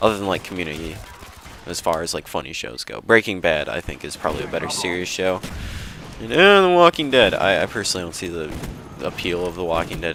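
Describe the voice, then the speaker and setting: Amid noticeable background noise, a man with an American accent and a very deep, low pitch speaks at a very fast pace with ordinary pitch variation. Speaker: gaming commentator. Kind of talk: gameplay commentary. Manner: casual, rambling with fillers.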